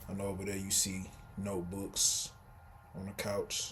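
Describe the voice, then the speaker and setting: With an American accent, a man talks at a fairly low pitch amid audible room echo. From Texas, Houston. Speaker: vlogger. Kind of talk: casual vlog monologue. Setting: indoors at home, sitting in a room.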